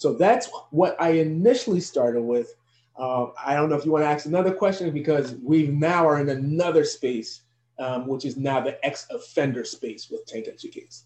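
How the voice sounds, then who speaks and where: This man has a fairly high voice and an American accent. He speaks at a moderate pace, somewhat breathy, with lively intonation. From New Jersey, US. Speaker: professor and youth educator. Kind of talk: interview.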